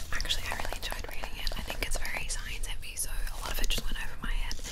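Whispering, a woman speaks at a very fast pace. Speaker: ASMR creator. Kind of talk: ASMR cookbook review. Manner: whispered. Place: home room. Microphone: studio mic.

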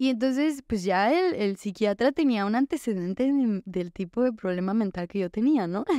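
A woman with a Mexican accent, dark, mellow tone and lively intonation, at a moderate pace with hardly any pauses, dry sound with no echo over a quiet background. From Mexico. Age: 20s. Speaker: recovering addict sharing her story; podcast guest. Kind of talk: testimony. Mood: candid, reflective, at times smiling. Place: studio. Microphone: studio mic.

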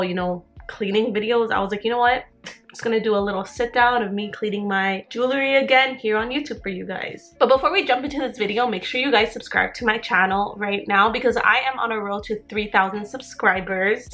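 Faint music plays in the background while a woman speaks at a fairly quick pace. She has hardly any pauses and ordinary pitch variation. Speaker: vlogger. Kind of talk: casual vlog chat. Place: home room. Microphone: phone near.

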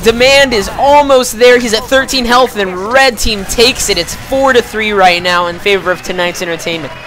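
Over noticeable background noise, a woman with a fairly high pitch speaks in an energetic tone with hardly any pauses. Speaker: esports shoutcaster. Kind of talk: live game commentary. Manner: energetic, fast-paced.

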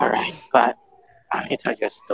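A man's fairly bright tone at a fast pace, with a dry, close sound and no echo.

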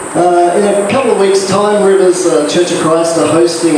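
A man talks at a moderate pace. There is noticeable background noise and strong room echo. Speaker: pastor. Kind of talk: sermon and notices. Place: church.

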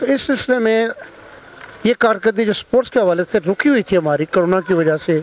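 A man talks at a moderate pace in a high pitch, the sound dry with no echo and light background noise behind him. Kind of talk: interview answer. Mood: pleased, thankful. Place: hall. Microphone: handheld.

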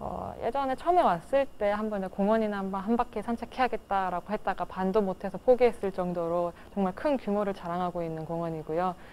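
With hardly any pauses, a woman talks at a fairly quick pace. Her pitch varies in an ordinary way over light background noise. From Seoul, South Korea. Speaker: plant technical staff member; interviewee. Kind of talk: local resident interview. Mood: warm, enthusiastic. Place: home room.

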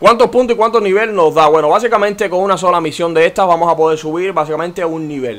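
A man's high voice at a very fast pace, hardly any pauses, and ordinary pitch variation. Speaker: gaming youtuber. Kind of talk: gameplay tutorial.

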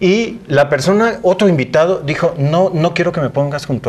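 Here a man talks at a fairly quick pace. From Tabasco, Mexico. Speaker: TV news anchor and host. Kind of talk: TV interview. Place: studio. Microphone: lapel.

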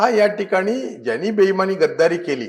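A man with a high pitch talks in very wide pitch swings. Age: 50s. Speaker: politician. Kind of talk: interview.

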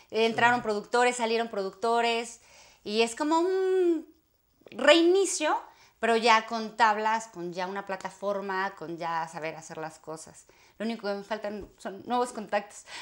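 A woman talks at a fairly slow pace against a quiet background. Her fairly high pitch swings very widely, and her loudness shifts a lot. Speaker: actress. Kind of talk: interview. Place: home room.

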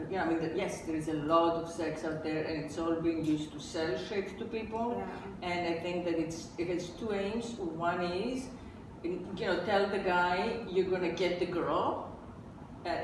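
Over noticeable background noise and audible room echo, a woman talks at a moderate pace in a fairly low pitch with ordinary pitch variation. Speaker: podcast host. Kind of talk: podcast discussion. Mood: candid, occasionally laughing. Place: home room.

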